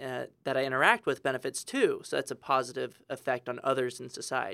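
In a very clean recording with a silent background, a man with an American accent speaks fairly quickly at a fairly high pitch with a bright, sharp tone. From Texas, San Antonio. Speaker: education policy analyst. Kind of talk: interview. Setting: studio.

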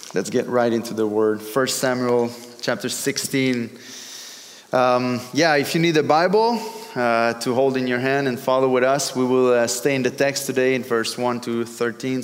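Amid noticeable background noise and audible room echo, a man with a French accent talks at medium pitch, a moderate pace and fairly even intonation. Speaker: pastor. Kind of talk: sermon. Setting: church. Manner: halting.

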